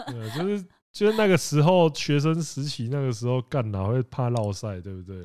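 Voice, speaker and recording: A man with a dark, mellow tone and medium pitch speaks at a fairly quick pace, his voice making very wide pitch swings and big swings in loudness. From Taiwan, Penghu. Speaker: podcast co-host. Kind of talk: casual chat. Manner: animated.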